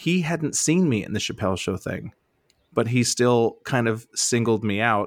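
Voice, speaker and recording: A man with an American accent speaks at a moderate pace in a medium pitch, with lively intonation and an unremarkable speaking voice. The recording is very clean, with a silent background. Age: 40s. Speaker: stand-up comedian. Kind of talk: casual interview chat.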